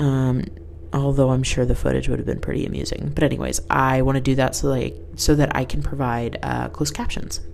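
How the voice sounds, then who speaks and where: A woman talks in an animated tone at a fairly quick pace. Background noise is noticeable. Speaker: podcast host. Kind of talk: casual chat, rambling podcast. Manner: animated, laughs often.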